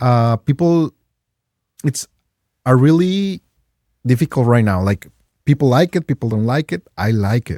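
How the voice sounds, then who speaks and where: Speaking with a Mexican accent and long, frequent pauses, a man's medium-pitched voice has a dark, mellow tone, recorded very cleanly with a silent background and a dry, close sound with no echo. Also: moderate pace. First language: Spanish. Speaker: game store owner, guest. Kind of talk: casual chat. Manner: halting.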